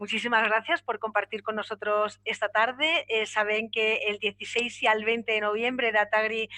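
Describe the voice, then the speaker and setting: A woman with a fairly high pitch speaks at a moderate pace, keeping her intonation fairly even. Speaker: panel moderator. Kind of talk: moderating a panel discussion.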